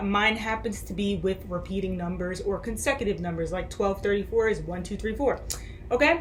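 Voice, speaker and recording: Audible room echo and noticeable background noise surround a woman who speaks at a moderate pace with big swings in loudness. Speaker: spiritual vlogger. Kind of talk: casual monologue. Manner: halting.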